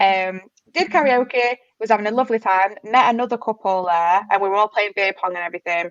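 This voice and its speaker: A woman with an English accent and a fairly high pitch speaks at a moderate pace with lively intonation, in a dry, close sound with no echo. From England. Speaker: podcast guest, host's relative. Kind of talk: casual chat.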